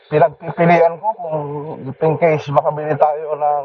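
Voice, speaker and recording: Amid noticeable background noise, a man speaks at a fairly slow pace with a fairly high pitch and fairly even intonation. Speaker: motovlogger. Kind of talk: casual vlog narration while riding. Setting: riding motorcycle outdoors, full face helmet.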